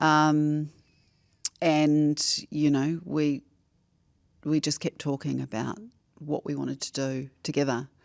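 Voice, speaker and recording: A woman speaks very slowly with a very deep, low pitch and long, frequent pauses, her intonation monotone and flat. The recording is very clean, with a silent background. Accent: New Zealand. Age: 60s. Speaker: former broadcaster and journalist. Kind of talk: casual chat.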